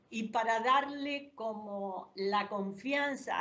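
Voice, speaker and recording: A woman speaks with ordinary pitch variation. Noticeable background noise and audible room echo fill the recording. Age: 70s. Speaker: interview show host. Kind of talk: interview.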